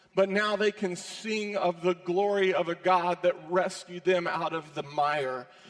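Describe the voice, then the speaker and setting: Pitch varies in an ordinary way at a fairly slow pace. There is noticeable background noise. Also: man. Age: 50s. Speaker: ministry executive. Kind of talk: sermon. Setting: church.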